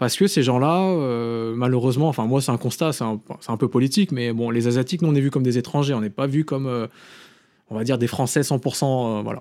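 The recording is very clean with a silent background. A man with a dark, mellow tone speaks fairly quickly at medium pitch with ordinary pitch variation. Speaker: film director. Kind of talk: casual chat.

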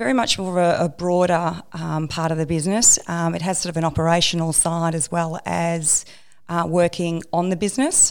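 A woman speaks with an Australian accent at a fairly low pitch. The recording is very clean, with a silent background. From Australia, Melbourne. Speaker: construction manager. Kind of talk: interview.

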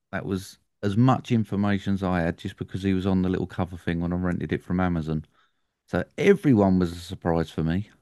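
A man's very deep, low voice with an English accent, dark and mellow in tone, at a very fast pace, dry and close with no echo, over a quiet background. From England. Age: 40s. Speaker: film podcast host. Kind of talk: casual chat.

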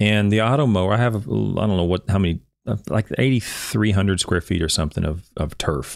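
At a fairly quick pace and very even loudness, a man with an unremarkable speaking voice talks at a fairly low pitch with ordinary pitch variation. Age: 40s. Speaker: turfgrass science educator, video host. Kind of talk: solo literature review livestream.

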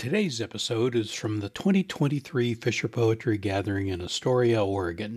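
Hardly any pauses break up a man's somewhat breathy speech, which has ordinary pitch variation. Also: medium pitch for a man, moderate pace, very clean recording, silent background. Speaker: podcast host. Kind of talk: scripted podcast intro and outro.

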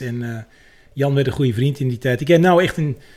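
Somewhat breathy, this voice moves at a fairly quick pace with ordinary pitch variation. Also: man. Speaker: musician and guitarist. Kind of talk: casual chat. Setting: studio.

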